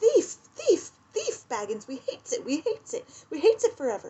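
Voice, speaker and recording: Moderately paced speech from a woman using a put-on character voice, pitched extremely high. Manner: menacing, hateful.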